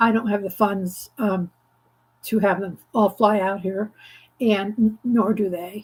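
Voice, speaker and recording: Speaking at a fairly slow pace, a woman with a medium pitch and a somewhat breathy voice keeps a monotone, flat intonation. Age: 70s. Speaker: craft channel host. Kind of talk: casual chat. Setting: livestream from home craft studio. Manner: halting, many fillers.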